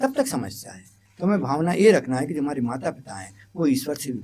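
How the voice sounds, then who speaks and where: This man's voice sits fairly high, with very wide pitch swings and big swings in loudness. His tone is dark and mellow. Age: 60s. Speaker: educator. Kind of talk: interview.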